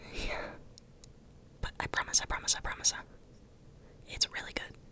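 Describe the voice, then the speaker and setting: Someone whispers over noticeable background noise. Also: moderate pace. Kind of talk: ASMR roleplay, casual talk to camera. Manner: soft, intimate, whispery.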